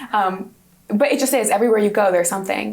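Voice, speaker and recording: A woman's fairly high voice with audible room echo. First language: Hungarian. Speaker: university student. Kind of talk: interview.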